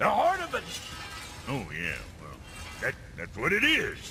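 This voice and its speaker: Clear background noise runs under a put-on character voice. The pace is moderate. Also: man. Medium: video game. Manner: gruff, sarcastic.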